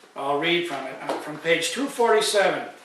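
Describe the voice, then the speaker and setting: With noticeable background noise behind him, a man talks at a moderate pace with lively intonation. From Canada. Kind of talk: casual talk to camera.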